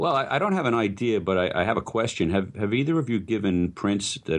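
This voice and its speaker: With a New York accent, a man talks at a fairly quick pace with ordinary pitch variation. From New York, Brooklyn. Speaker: photographer. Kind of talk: casual chat.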